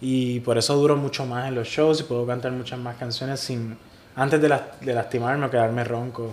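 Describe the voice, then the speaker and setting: The man's intonation is monotone and flat. He talks at a medium pitch and a fairly quick pace. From Puerto Rico (Ciales). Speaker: singer-songwriter. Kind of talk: casual interview. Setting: hostel room.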